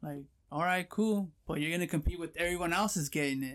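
A man with an American accent, in an ordinary speaking voice. His pitch is fairly high, his intonation fairly even, and the recording very clean against a silent background. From Southern California, Pomona. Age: 30s. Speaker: online reseller. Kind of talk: casual chat.

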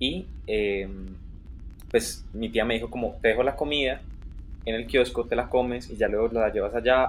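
A man at a moderate pace, with long, frequent pauses. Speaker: podcast co-host. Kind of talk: casual chat.

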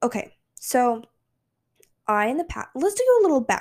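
The recording is very clean and the background silent. A woman talks at a moderate pace. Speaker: podcast host. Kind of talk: casual chat. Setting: at home on her couch. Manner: unscripted, with stumbles.

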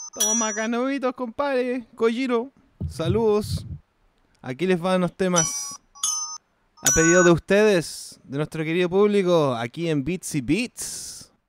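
In a Chilean accent, a man speaks very slowly at a high pitch, his pitch swinging very widely, with a dry, close sound and no echo. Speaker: podcast host. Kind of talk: casual chat. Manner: animated.

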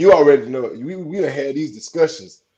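A man with a fairly high-pitched voice talks at a moderate pace. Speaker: returning podcast guest and content creator. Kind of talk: casual chat. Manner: halting, many repeated words and fillers.

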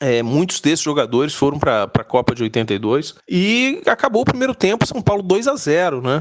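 With noticeable background noise behind him, a man speaks at a moderate pace in a fairly high pitch, his voice making very wide pitch swings. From Brazil, Rio de Janeiro. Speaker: football fan. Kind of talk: personal storytelling. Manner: halting.

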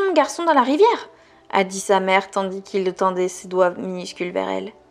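A woman talks at a middling speed while music plays behind her. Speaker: podcast host reading a novel aloud. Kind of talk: literary audiobook reading, intimate and dramatic, with character voices. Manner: casual, friendly, informal address to listener outside the reading.

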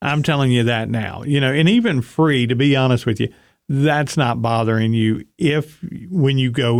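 A man speaks with a plain, everyday voice. His pace is moderate and his intonation fairly even. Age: 40s. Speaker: weight loss podcast co-host. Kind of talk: casual chat.

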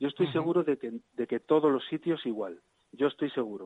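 This man speaks very quickly. The rise and fall of his pitch is ordinary. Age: 50s. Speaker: emergency physician. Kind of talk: radio interview. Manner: halting.

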